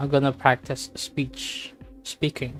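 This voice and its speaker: The tone is calm. Music plays in the background. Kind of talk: casual gaming commentary. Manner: calm, clear diction.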